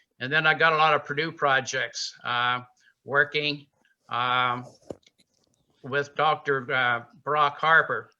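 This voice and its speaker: With an American accent, a man speaks very slowly in a fairly high, bright, sharp voice. His intonation is monotone and flat, with long, frequent pauses. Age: 80s+. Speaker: beekeeper. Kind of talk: presentation. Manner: halting.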